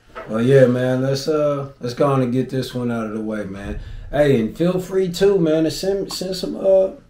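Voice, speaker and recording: The intonation is lively. Audible room echo fills the recording. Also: man, fairly high pitch for a man, moderate pace. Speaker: YouTube reaction host. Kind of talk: casual reaction chat. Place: home room. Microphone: camera far.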